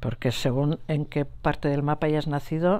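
A woman talks at a moderate pace with a very deep, low pitch. Her tone is dark and mellow, her intonation fairly even. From Basque Country, Gipuzkoa; Basque Country. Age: 60s. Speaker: nurse and Sahrawi cause activist; interviewee. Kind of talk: interview testimony. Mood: earnest, emotional recollection. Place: home room.

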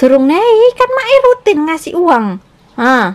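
Speaking slowly, a woman's voice at an extremely high pitch makes big pitch swings.

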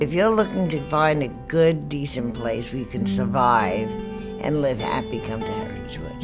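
A woman talks at a moderate pace. Behind her, music can be heard clearly. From New York. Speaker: assisted living resident. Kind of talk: testimonial interview answer. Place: home room.

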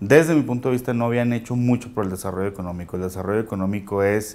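Speaking at a very fast pace, a man keeps a fairly low pitch and fairly even intonation. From Mexico, Chihuahua. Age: 30s. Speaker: local politician. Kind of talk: interview. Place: studio. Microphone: lapel.

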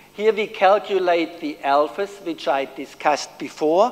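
Lively intonation marks this speech in a German accent, delivered at a fairly slow pace over light background noise. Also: man. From Germany. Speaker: professor. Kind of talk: lecture. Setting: stage with audience. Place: hall.

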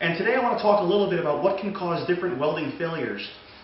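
A man speaks with lively intonation. Audible room echo surrounds his voice.

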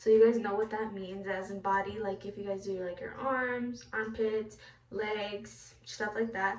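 A woman is speaking. Audible room echo is present. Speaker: beauty product reviewer. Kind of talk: casual tutorial vlog. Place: bathroom. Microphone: phone near.

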